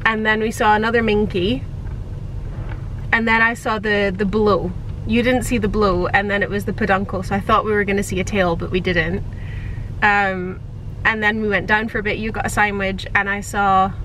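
A woman speaks at a moderate pace in a monotone, flat intonation, with long, frequent pauses. The sound is dry with no echo, over light background noise. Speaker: travel vlogger. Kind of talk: casual vlog chat. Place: car. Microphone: phone near.

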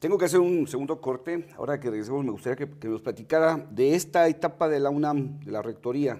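Very fast speech with a Mexican accent over a quiet background. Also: man, fairly high pitch for a man, ordinary pitch variation. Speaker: TV interviewer. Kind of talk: TV interview. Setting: studio. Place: studio.

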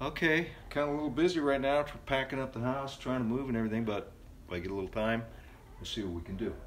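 A man at a very fast pace, over light background noise. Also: ordinary pitch variation. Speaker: songwriter hosting a faith video series. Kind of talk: casual vlog chat. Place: home room. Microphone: phone near.

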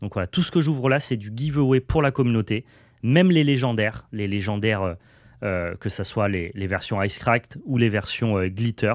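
A man speaks at a moderate pace with lively intonation. The sound is dry with no echo, and the background is quiet. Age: 30s. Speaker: card game YouTuber. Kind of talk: card unboxing video. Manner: animated. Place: home room.

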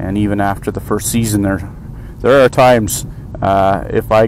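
A man with a Canadian accent, fairly low-pitched with fairly even intonation, over noticeable background noise. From Canada, eastern Ontario. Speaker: motorcycle vlogger. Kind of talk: casual monologue. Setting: in a car. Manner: hesitant, many fillers.

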